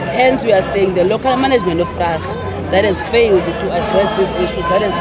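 Crowd noise fills the background of this dry recording with no echo. The speaker keeps a moderate pace. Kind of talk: interview answer. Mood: firm, determined. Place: street. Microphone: handheld.

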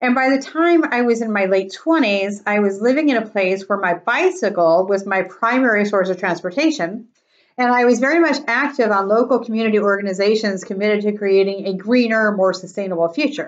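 A woman at a fairly quick pace, hardly any pauses, against a quiet background. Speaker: presenter. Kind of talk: presentation talk. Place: home room. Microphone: webcam.

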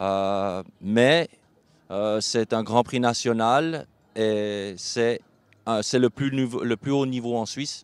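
Long pauses come often in this very slowly delivered speech. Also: man, medium pitch for a man, ordinary pitch variation. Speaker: show jumping rider. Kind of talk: interview. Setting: at a live horse show event. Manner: halting.

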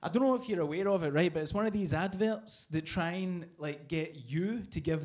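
With a Scottish accent, a man talks at a fairly quick pace and with ordinary pitch variation against a quiet background. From Scotland. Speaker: comedian. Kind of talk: stand-up. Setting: stage with audience. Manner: animated. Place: cafe. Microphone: handheld.

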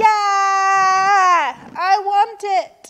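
A woman's put-on character voice, shrill and whiny, extremely high in pitch, bright and sharp in tone, with fairly even intonation and a very slow pace

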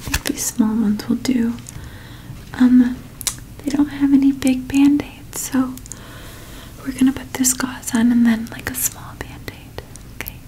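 A soft-spoken woman with a high pitch and a gentle tone talks at a fairly slow pace, leaving long, frequent pauses. Her intonation is monotone and flat, with light background noise behind her. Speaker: ASMR creator. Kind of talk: ASMR roleplay, caring first aid scenario. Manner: soft-spoken, gentle, caring. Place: home room.

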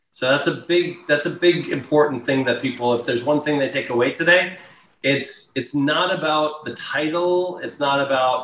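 A man at a moderate pace with ordinary pitch variation and audible room echo. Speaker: remote guest. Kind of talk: interview answer. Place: home room. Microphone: video call.

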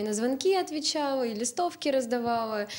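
A woman's high voice at a fairly quick pace, with lively intonation. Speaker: university student; talk show guest. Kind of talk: studio discussion. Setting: TV studio. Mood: relaxed, smiling. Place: studio. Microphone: handheld.

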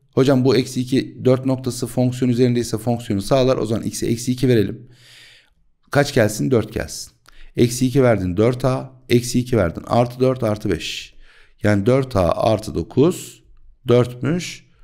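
Speaking at a fairly slow pace, a man has a dark, mellow tone and ordinary pitch variation against a quiet background. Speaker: math teacher. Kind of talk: tutorial. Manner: animated. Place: home room. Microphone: studio mic.

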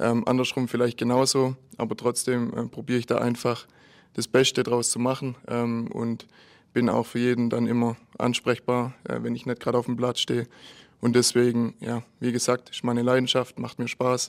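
At a moderate pace, a man speaks in a monotone, flat intonation over a quiet background. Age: 20s. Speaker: amateur football player and youth coordinator. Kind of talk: post-match interview; interview answer. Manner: halting, many filler sounds. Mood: relaxed, friendly. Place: hall. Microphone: handheld.

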